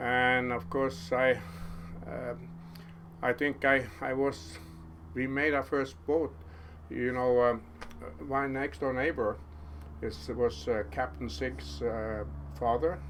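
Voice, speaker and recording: At a very slow pace, a man speaks with very wide pitch swings and long, frequent pauses. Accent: Norwegian. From Norway, Karmøy island. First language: Norwegian. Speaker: fisherman. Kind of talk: casual chat.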